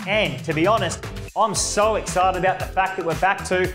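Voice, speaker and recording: A man's high-pitched voice with ordinary variation at a moderate pace, clear music in the background. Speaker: auctioneer. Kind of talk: market update talk to camera. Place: studio. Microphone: lapel.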